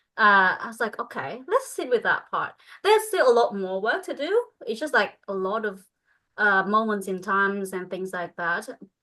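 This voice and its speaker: With a Vietnamese accent, a woman speaks at a fairly high pitch and a moderate pace, her tone bright and sharp and her intonation lively, over a quiet background. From northern Vietnam. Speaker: spiritual coach. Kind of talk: group coaching call. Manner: halting.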